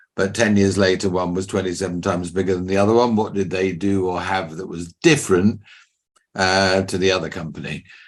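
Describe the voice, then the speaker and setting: Over a quiet background, a man with an English accent speaks at a fairly quick pace, his very deep, low voice keeping a fairly even intonation. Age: 60s. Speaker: business mentor and company founder. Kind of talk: podcast interview.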